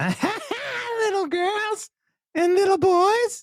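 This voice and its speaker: Extremely high pitch in a put-on character voice. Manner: eerie.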